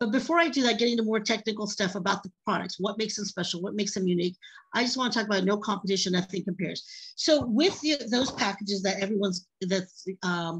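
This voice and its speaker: Very fast and somewhat breathy, a woman's speech rushes by. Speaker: product presenter. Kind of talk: sales pitch. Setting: video call.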